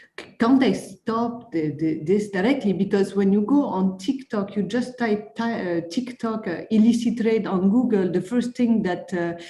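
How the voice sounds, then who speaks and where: Over noticeable background noise and audible room echo, a woman with a French accent speaks at a medium pitch and moderate pace, with ordinary pitch variation and hardly any pauses. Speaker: conference attendee asking a question. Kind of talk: Q&A question at online conference. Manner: halting, many fillers and repetitions.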